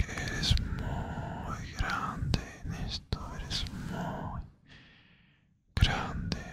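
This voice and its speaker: Very slowly, a man speaks in a whisper. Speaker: ASMR creator. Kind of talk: ASMR motivational talk to listener. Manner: whispered. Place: home room.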